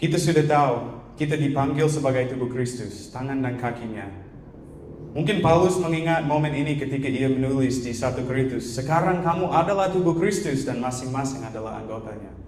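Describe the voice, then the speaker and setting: A man at a medium pitch talks at a fairly quick pace with ordinary pitch variation, with audible room echo and noticeable background noise. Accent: non-native. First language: not Indonesian (speaking Indonesian). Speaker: guest preacher. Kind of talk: sermon. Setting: church.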